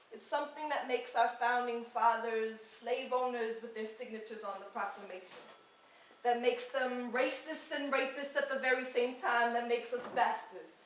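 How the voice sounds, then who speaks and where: A woman with a New York accent, high in pitch, with big swings in loudness over noticeable background noise. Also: moderate pace. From New York City, Washington Heights. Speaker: spoken word poet. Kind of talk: spoken word performance. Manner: rhythmic.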